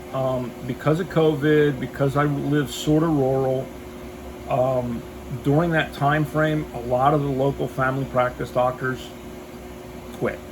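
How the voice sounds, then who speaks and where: In a room with audible echo and noticeable background noise, a man speaks at a very slow pace in a fairly high pitch with fairly even intonation. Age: 60s. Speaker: military veteran vlogger. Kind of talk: casual vlog monologue. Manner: rambling with frequent fillers.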